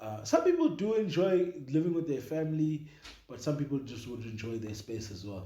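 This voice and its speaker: The man's intonation is lively. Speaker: podcast co-host. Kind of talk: casual chat. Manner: loud.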